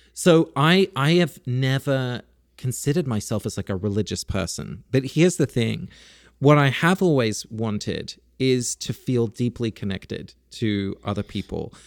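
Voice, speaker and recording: Recorded very cleanly with a silent background and a dry, close sound with no echo, a man with a British accent speaks at a moderate pace in a medium pitch with lively intonation. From UK, Dutch parents. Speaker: author and podcaster. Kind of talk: interview conversation.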